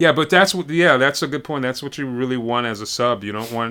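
The speaker is a man with an American accent. He has a bright, sharp tone. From US East Coast, Washington DC / Baltimore area. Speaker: bass player. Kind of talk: casual chat. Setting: video call.

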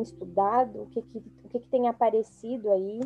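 Moderate pace over noticeable background noise. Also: woman. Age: 30s. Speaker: podcast host. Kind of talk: casual chat.

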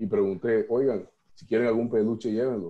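A man's voice at a medium pitch. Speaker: workshop participant. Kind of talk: personal sharing in workshop. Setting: video call.

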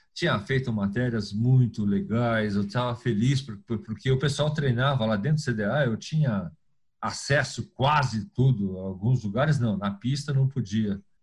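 Somewhat breathy and very even in loudness, a man at medium pitch speaks at a fairly slow pace. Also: ordinary pitch variation. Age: 60s. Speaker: sports journalist. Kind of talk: interview.

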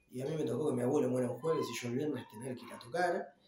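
A man talks very fast at a fairly high pitch, his pitch varying in an ordinary way, as noticeable background noise continues. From Argentina, Ituzaingó, Buenos Aires conurbano. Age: 40s. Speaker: rock musician, guitarist and songwriter. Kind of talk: casual interview.

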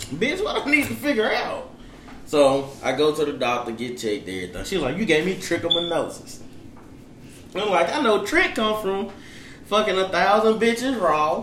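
A man with a high pitch talks at a moderate pace, his voice swinging very widely in pitch, with audible room echo. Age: 20s. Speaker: podcast co-host. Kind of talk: casual chat.

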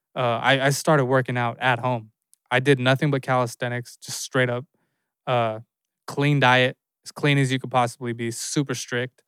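Very clean, dry, close sound with no echo and a silent background, carrying a man's medium-pitched, unremarkable speaking voice with fairly even intonation at a moderate pace. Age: 30s. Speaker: podcast host. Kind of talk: solo casual talk.

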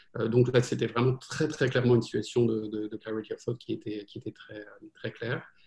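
Somewhat breathy and at a moderate pace, a man with a medium pitch talks in a monotone, flat intonation with big swings in loudness. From France. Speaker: venture capital investor. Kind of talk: interview. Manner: halting.

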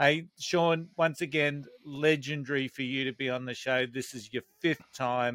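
In an Australian accent, a bright, sharp voice speaks at a moderate pace with ordinary pitch variation, the sound dry and close with no echo in a very clean recording with a silent background. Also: man. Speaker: podcast host. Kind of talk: casual chat, unscripted.

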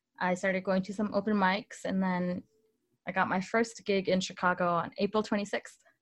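Against a quiet background, a woman with an American accent speaks at medium pitch. Her intonation stays fairly even, and her voice is somewhat breathy. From Northern Illinois. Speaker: musician. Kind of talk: interview.

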